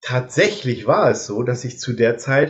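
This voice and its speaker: Somewhat breathy, a man at a medium pitch speaks at a fairly slow pace. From northern Germany (Delmenhorst). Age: 50s. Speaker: social care worker, musician. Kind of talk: casual chat.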